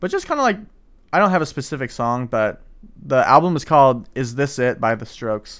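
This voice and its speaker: A man with an American accent in an unremarkable speaking voice, medium in pitch, with lively intonation at a fairly quick pace on a very clean recording with a silent background. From St. Louis, Missouri. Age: 20s. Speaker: college podcast co-host. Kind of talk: casual chat.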